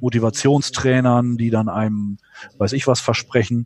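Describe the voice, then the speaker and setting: Fairly even intonation marks this man's speech. His pitch sits in the medium range. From northwestern Germany. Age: 40s. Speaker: trade association executive. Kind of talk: interview. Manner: hesitant, many filler sounds.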